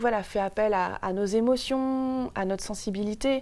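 A woman speaks at a medium pitch with ordinary pitch variation and a dark, mellow tone. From Paris, France. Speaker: guest. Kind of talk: TV interview. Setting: TV studio. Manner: hesitant, many fillers. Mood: calm, earnest, reflective. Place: studio. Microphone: lapel.

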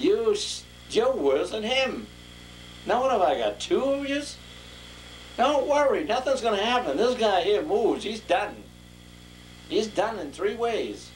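A man at a fairly slow pace, with long, frequent pauses and light background noise. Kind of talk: improvised acted monologue. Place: home room. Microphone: old recording.

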